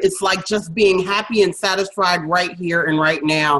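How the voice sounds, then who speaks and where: An unremarkable speaking voice moves at a moderate speed, its intonation fairly level. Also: woman. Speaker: podcast host. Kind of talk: interview.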